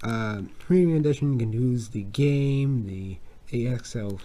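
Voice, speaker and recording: The man's voice has a dark, mellow tone. It is somewhat breathy. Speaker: video game unboxing youtuber. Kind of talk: unboxing video. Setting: home at night. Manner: soft-spoken; halting, many repetitions.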